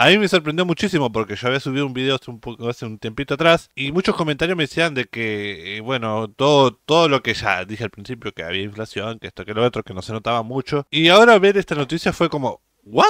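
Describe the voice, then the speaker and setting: A man talks at a very fast pace with very wide pitch swings. The sound is dry, with no echo and a quiet background. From Uruguay. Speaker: YouTube reaction creator; youtuber reacting to news. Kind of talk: reaction commentary. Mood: surprised, animated. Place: home room. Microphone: studio mic.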